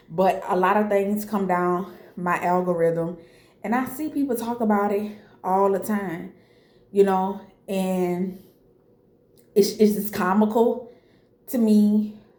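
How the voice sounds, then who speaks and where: A woman's medium-pitched voice, dark and mellow, very slow, with fairly even intonation, long, frequent pauses and audible room echo. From Louisiana, New Orleans. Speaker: video blogger. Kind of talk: casual monologue to camera.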